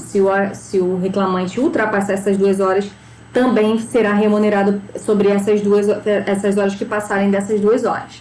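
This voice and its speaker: A woman talks at a moderate pace and a medium pitch. The room echo is audible, and there is noticeable background noise. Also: very even loudness. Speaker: labor law teacher. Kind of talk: lecture.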